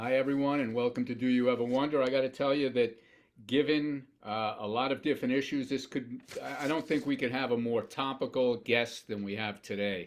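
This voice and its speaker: A man with a normal speaking voice talks at a fairly quick pace and medium pitch, his intonation fairly even against a quiet background. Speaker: podcast host. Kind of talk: podcast interview.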